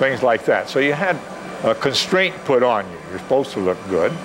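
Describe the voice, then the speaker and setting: At a fairly quick pace, a man talks amid noticeable background noise and audible room echo. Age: 70s. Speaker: retired navy officer and masters track athlete. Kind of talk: interview. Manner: halting.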